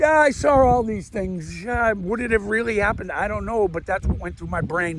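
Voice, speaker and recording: A man talks at a fairly quick pace with a high pitch. His tone is animated. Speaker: vlogger, amateur comedian. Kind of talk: casual monologue to camera. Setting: outdoors, walking. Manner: loud; rambling, animated.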